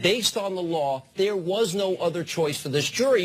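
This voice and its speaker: A man speaks with a high-pitched voice. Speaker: TV host. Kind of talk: TV debate moderating.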